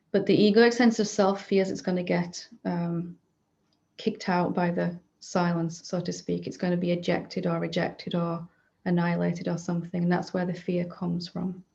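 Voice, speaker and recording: Somewhat breathy and dark, mellow in tone, a woman speaks at a moderate pace with monotone, flat intonation. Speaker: spiritual teacher. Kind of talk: satsang talk answering questions. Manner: hesitant with fillers.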